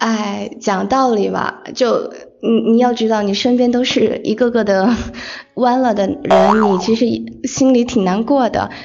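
A woman's fairly high voice at a fairly slow pace, with fairly even intonation and noticeable background noise. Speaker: podcast host (guest). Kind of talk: interview chat. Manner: talkative.

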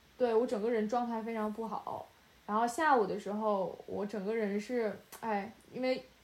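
In a normal speaking voice, a woman with fairly high pitch speaks at a moderate pace with fairly even intonation. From China. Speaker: podcast co-host and film student director. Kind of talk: casual chat. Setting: remote call, late night.

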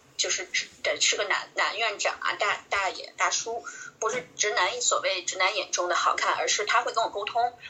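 Against noticeable background noise, a woman talks at a moderate pace. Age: 30s. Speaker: life coach and video blogger. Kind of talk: casual chat.

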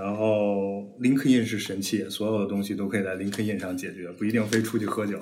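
A man talks at a fairly quick pace with hardly any pauses, his pitch fairly low and his intonation fairly even. Noticeable background noise runs underneath. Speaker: data scientist, podcast co-host. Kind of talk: casual chat, sharing experience.

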